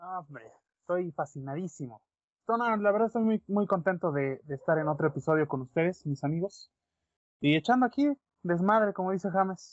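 A man's high-pitched voice, lively in intonation, at a fairly quick pace. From Mexico. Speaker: podcast co-host. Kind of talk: casual chat.

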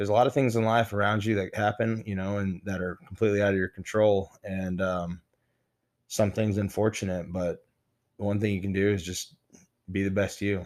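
In a very clean recording with a silent background, a man with an American accent speaks at a fairly quick pace and fairly low pitch in a monotone, flat intonation. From Texas (Midland). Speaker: former bodybuilder. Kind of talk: casual interview chat.

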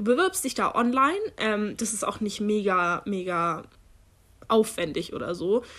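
With a bright, sharp tone and fairly high pitch, a woman talks at a fairly slow pace with lively intonation on a very clean recording with a silent background. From Germany. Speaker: podcast co-host, university student. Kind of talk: casual chat.

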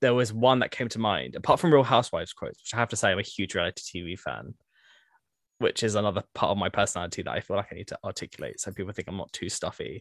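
Speaking at a very fast pace with a British accent, a man swings widely in loudness, in a dry, close sound with no echo on a very clean recording with a silent background. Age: 20s. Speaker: civil servant and housing campaigner. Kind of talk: interview conversation.

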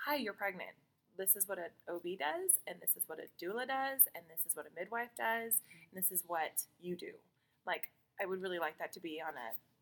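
Her voice is a plain, everyday voice, medium in pitch, with lively intonation. The woman speaks at a fairly quick pace with big swings in loudness. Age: 30s. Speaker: podcast co-host and doula. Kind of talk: casual chat. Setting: in person at a table, recorded together.

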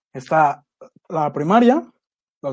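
This man speaks in a Mexico City accent, his pitch fairly high. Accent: Mexico City Spanish (chilango). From Mexico City (Iztapalapa). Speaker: podcast co-host. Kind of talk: casual chat.

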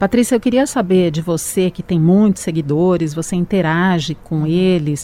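A woman speaks at a fairly slow pace with an ordinary speaking voice and a fairly low pitch. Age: 50s. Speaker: radio host. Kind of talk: casual chat.

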